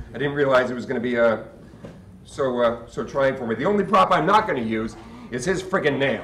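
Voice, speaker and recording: Fairly quick, lively speech from a man, with audible room echo and light background noise. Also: medium pitch for a man. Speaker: sideshow performer and emcee. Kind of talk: live stage emcee address to audience. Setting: live event, stage. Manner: emotional, hesitant. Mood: emotional, tribute to late performer. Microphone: camera far.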